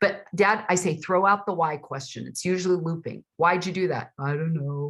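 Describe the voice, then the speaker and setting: Animated speech from a woman, fairly low in pitch, with ordinary pitch variation and a moderate pace. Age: 60s. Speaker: author and father-daughter expert. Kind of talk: interview.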